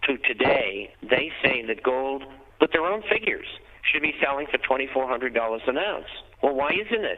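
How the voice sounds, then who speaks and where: Here a man speaks at a moderate pace with a fairly high pitch and lively intonation. Noticeable background noise runs through the clip. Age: 70s. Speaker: financial newsletter editor. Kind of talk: interview.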